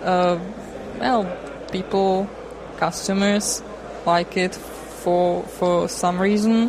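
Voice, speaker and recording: A woman's medium-pitched voice, very slow with long, frequent pauses, fairly even in intonation and very even in loudness, with audible room echo and noticeable background noise. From Czech Republic, Prague. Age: young. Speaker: software developer. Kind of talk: interview.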